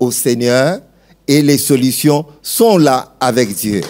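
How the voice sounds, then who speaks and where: The voice has a dark, mellow tone. It moves at a very slow pace. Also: man. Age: 60s. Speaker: pastor. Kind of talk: testimony.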